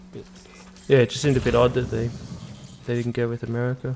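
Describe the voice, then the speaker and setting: There is music in the background. A man with a medium pitch speaks with an Australian accent and fairly even intonation. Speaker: gaming YouTuber. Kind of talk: let's play commentary. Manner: hesitant, many fillers.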